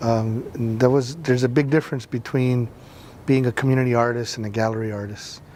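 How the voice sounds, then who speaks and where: Against noticeable background noise, a man with an American accent talks at a moderate pace in a medium-pitched voice with monotone, flat intonation. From Los Angeles, US. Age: 30s. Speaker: community artist. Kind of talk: interview testimony. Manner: halting, many fillers.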